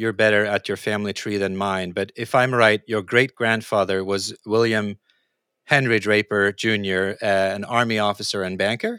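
Speaking fairly quickly with a Norwegian accent, a man with a fairly low pitch and a bright, sharp tone sounds dry and close with no echo in a very clean recording with a silent background. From Norway. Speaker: podcast host, futurist and author. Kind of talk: interview conversation.

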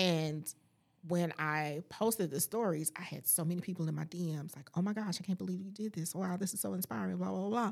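Using a normal speaking voice, a woman with a fairly low pitch talks at a fairly quick pace with ordinary pitch variation. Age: 40s. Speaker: life coach and podcaster. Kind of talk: casual chat. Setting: studio.

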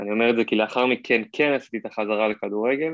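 Here is a man with a plain, everyday voice at medium pitch. He talks fairly quickly, with fairly even intonation. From Israel, Hod HaSharon. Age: 20s. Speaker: Amazon seller, former college footballer. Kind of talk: podcast interview.

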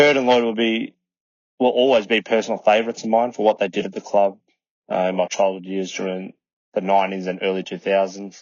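Speaking with an Australian accent, this voice moves at a fairly quick pace. The intonation stays fairly even. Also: man, fairly low pitch for a man. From Melbourne, Australia. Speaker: listener sharing a fan story. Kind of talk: recorded voice memo.

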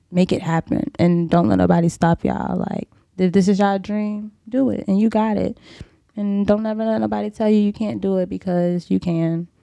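A woman speaks with a dark, mellow tone and ordinary pitch variation. The sound is dry and close, without echo. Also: medium pitch for a woman, moderate pace. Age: 20s. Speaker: model. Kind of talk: casual chat. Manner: animated.

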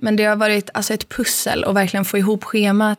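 A woman's very fast, monotone delivery with flat intonation. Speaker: podcast co-host, exchange student. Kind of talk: casual chat.

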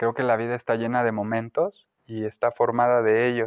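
In a Mexican accent, the speaker keeps a monotone, flat intonation at a moderate pace, with a dry, close sound, no echo and a quiet background. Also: man. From Mexico, León, Guanajuato. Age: 30s. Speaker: spiritual healer and Reiki practitioner. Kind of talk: interview. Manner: hesitant, many fillers.

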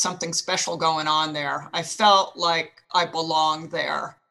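A woman speaks with an American accent at a moderate pace. Music plays in the background. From New Jersey. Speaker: retired army officer, former runner. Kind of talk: interview.

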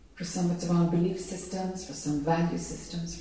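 A woman speaks with an Irish accent in a monotone, flat intonation, with noticeable background noise. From Ireland. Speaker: spiritual teacher. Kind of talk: satsang dialogue with audience. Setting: live event with audience.

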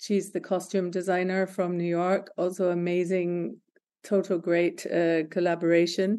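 Over a quiet background, a woman at medium pitch speaks fairly slowly in a dark, mellow tone, with flat, monotone intonation and very even loudness. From Scotland, Glasgow. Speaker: creative director. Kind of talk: interview. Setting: remote call.

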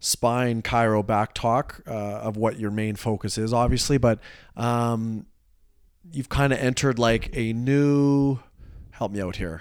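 Using a plain, everyday voice, a man talks at medium pitch and a fairly slow pace. His intonation is fairly even, and the recording is very clean with a silent background. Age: 30s. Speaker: fitness podcast host. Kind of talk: casual chat.

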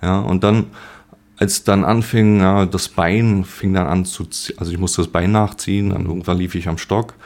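The voice belongs to a man with a very deep, low pitch. He speaks at a moderate pace. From born in Poland, grew up in Germany. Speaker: painter with multiple sclerosis. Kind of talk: interview. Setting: at the guest's home. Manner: halting.

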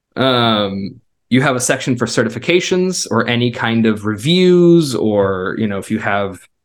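Recorded very cleanly over a silent background, a man with a medium pitch speaks in a normal speaking voice. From US South and Israel. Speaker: web designer and former missionary. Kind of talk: interview.

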